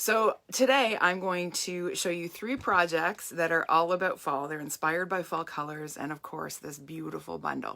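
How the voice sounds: Putting on a character voice, a woman talks at a moderate pace in a raspy, croaky, hoarse tone with fairly low pitch and ordinary pitch variation.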